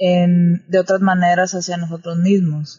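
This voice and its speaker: At a fairly slow pace, a woman speaks in a somewhat breathy, medium-pitched monotone with flat intonation. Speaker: podcaster. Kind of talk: casual chat.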